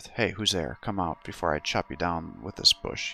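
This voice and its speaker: Putting on a booming character voice, a man speaks very deep and low at a moderate pace against clear background noise. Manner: booming, loud.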